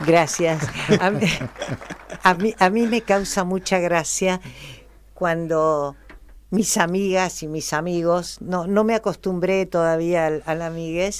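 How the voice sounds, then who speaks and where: At a very slow pace, a woman with a fairly low pitch speaks in fairly even intonation, leaving long, frequent pauses. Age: 70s. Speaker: actress. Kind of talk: interview.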